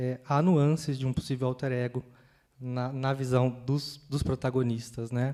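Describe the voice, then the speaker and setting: Man with a countryside Brazilian accent, medium pitch, a dark, mellow tone, monotone, flat intonation and a fairly slow pace. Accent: countryside Brazilian accent, noticeable. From interior of São Paulo state, Brazil. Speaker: panel moderator. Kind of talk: panel discussion. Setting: stage with audience in a library. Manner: hesitant, many fillers.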